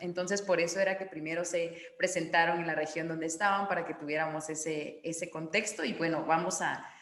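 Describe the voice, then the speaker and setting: Female speech with noticeable background noise and audible room echo. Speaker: forum moderator. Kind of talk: online panel discussion.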